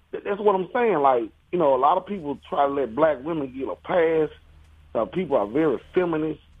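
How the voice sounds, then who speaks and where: At a moderate pace, a man talks in an ordinary speaking voice. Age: 40s. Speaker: caller. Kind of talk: radio call-in.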